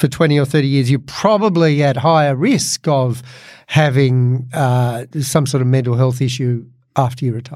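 Medium in pitch, a man with an Australian accent speaks at a moderate pace. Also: ordinary pitch variation. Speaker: podcast host and comedian. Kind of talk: casual chat.

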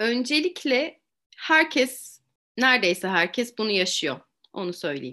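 Against a quiet background, a woman speaks at a very slow pace with vocal fry. Her fairly high voice makes very wide pitch swings. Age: 40s. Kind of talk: interview.

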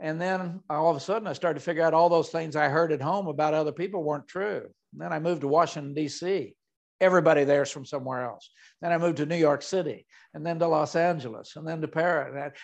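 Against a quiet background, a man with an American accent and a fairly high voice talks very fast with fairly even intonation. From Oklahoma. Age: 70s. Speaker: retired theme park executive, leadership speaker. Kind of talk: interview.

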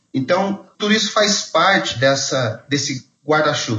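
A man talks at a moderate pace in a normal speaking voice. His pitch is fairly high, and his intonation is lively. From Brazil, Mogi das Cruzes (São Paulo). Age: 40s. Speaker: theology graduate, podcast co-host. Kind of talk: casual chat.

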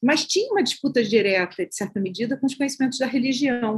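A woman speaks in a high register. The rise and fall of her pitch is ordinary. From Baixada Fluminense, Rio de Janeiro, Brazil. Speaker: social sciences professor and researcher. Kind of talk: interview.

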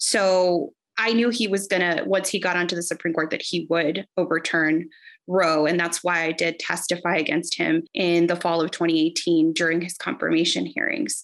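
A woman with an American accent speaks in a normal speaking voice at a fairly low pitch, with fairly even intonation, on a very clean recording with a silent background. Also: moderate pace. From Texas, Rio Grande Valley. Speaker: politician, civil rights lawyer. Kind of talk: political interview.

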